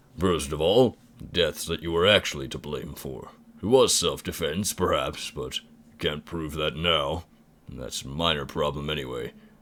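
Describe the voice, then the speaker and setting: A man performs a put-on character voice with a very deep, low pitch. He keeps a moderate pace. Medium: game stream. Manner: formal, courtly, measured.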